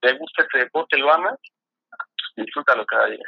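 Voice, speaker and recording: A man with a central Mexican accent at a moderate pace. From Mexico, State of Mexico. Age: 30s. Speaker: freestyle football athlete. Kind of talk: casual interview.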